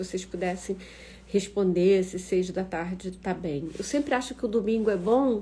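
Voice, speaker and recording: Somewhat breathy and dark, mellow in tone, a woman talks at a fairly slow pace and a medium pitch. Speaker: professor hosting an online talk. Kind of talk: casual live-stream talk. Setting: Instagram live stream.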